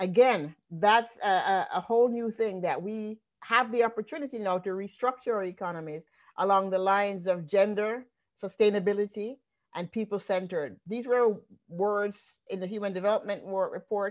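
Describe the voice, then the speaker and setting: Spoken at a moderate pace with ordinary pitch variation, this voice sits against a quiet background. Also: woman. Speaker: economist. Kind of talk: panel discussion. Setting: video call. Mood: earnest, analytical. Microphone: video call.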